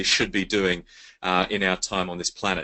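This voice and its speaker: A man's pace is moderate. He has an Australian accent. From Australia, Sydney. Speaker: network marketing presenter. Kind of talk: sales pitch. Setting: webinar call. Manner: enthusiastic.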